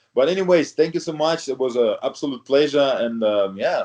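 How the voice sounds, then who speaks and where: A man talks at a moderate pace in a non-native accent. His tone is dark and mellow. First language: not English. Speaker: retired professional bodybuilder. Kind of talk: interview. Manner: halting, many fillers.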